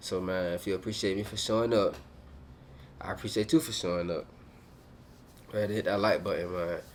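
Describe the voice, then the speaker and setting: A man's fairly low voice at a very fast pace, with ordinary pitch variation and long, frequent pauses. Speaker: motivational YouTuber. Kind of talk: casual motivational talk to camera. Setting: hotel room. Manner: loud; energetic.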